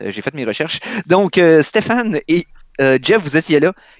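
A man's fairly high voice with vocal fry and very wide pitch swings, in a dry, close sound with no echo. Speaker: podcast host. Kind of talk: game quiz.

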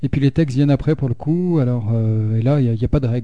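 Here a man talks with a dark, mellow tone. His pitch sits in the medium range. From France, Haute-Loire. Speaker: bassist and singer in a rock-electro band. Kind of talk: casual radio interview.

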